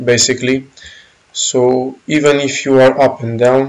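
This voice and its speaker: A man with a Romanian accent speaks at a very slow pace. His intonation is monotone and flat. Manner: casual, explanatory walkthrough with filler phrases.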